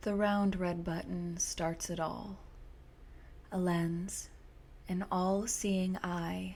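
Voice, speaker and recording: The speaker is soft-spoken and goes at a very slow pace. Long, frequent pauses break up the speech. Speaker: horror story narrator. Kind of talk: sleep story.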